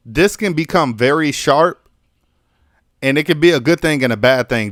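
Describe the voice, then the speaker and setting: This man has an ordinary speaking voice, with ordinary pitch variation and a moderate pace. The recording is very clean, with a silent background. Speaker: music producer and mixing engineer. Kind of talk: tutorial. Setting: live stream. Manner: casual, many fillers.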